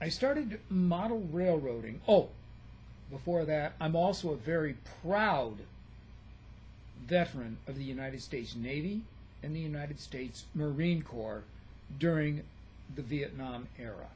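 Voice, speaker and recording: With audible room echo, a somewhat breathy man speaks with big swings in loudness and long, frequent pauses. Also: fairly high pitch for a man, lively intonation, moderate pace. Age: 70s. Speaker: retired nurse and model railroader. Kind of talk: casual vlog introduction.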